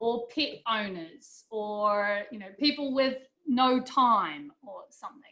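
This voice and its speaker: With a New Zealand accent, a woman speaks in a high pitch with a bright, sharp tone and ordinary pitch variation. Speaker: business instructor. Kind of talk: lecture.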